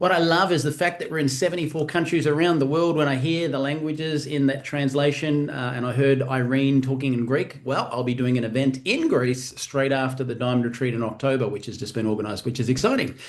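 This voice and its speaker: A man with an Australian accent and fairly high pitch, at a very fast pace with hardly any pauses, ordinary pitch variation and noticeable background noise. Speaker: event host for a wellness company. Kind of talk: live webinar hosting. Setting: video call live stream.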